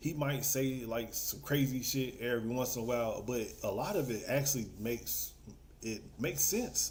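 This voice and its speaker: A somewhat breathy man's voice with a dark, mellow tone at a medium pitch, ordinary pitch variation, a fairly slow pace and audible room echo. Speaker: livestream panelist. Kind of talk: casual chat. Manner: frequent filler word like.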